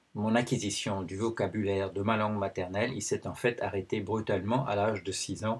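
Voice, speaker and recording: Somewhat breathy, this man's voice sits fairly low. He talks at a fairly slow pace. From Belgium. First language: Dutch (speaking French). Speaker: anthropologist and video blogger. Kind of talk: personal video commentary. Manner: hesitant, many fillers.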